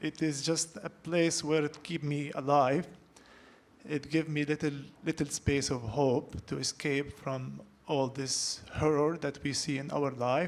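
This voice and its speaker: Speech with an Arabic accent comes at a fairly slow pace, the intonation fairly even. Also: man, fairly high pitch for a man. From Palestine. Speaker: artist, panelist. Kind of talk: panel discussion. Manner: halting.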